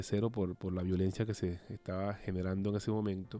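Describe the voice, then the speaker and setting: A man speaks in a dark, mellow tone. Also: dry, close sound with no echo. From Colombia, Cartagena de Indias (Caribbean coast). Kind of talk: interview testimony. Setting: studio.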